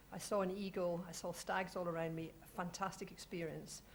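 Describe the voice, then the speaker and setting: A woman in a Scottish accent, medium in pitch. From Scotland. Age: 40s. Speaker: heritage organisation representative, panelist. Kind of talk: panel discussion talk.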